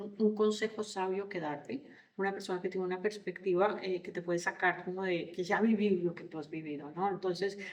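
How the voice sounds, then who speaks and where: With a Colombian accent, a woman speaks fairly quickly at a medium pitch, her intonation fairly even. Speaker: leadership consultant and coach. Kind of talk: podcast interview. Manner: hesitant, many fillers and repetitions.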